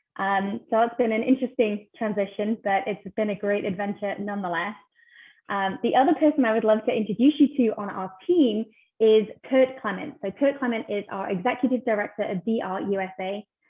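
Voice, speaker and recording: A woman speaks with a British accent at a fairly quick pace. Her pitch is fairly high with ordinary pitch variation. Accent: British accent noticeable. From UK. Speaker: ministry team member, webinar host. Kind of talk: online webinar conversation.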